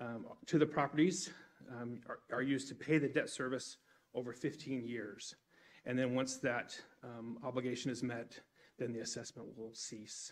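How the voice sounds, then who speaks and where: Long, frequent pauses break up a man's speech, delivered with fairly even intonation. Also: moderate pace. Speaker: presenter. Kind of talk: formal presentation to council. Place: hall. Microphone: podium.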